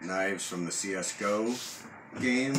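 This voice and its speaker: Loud background noise around a man speaking. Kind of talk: casual vlog chat. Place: kitchen. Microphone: camera far.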